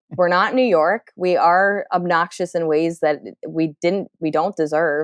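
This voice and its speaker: Heard dry and close with no echo, a woman speaks at a fairly slow pace in a fairly low pitch. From Central New Jersey, near Philadelphia. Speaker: stand-up comedian. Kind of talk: casual podcast chat. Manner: animated, many fillers.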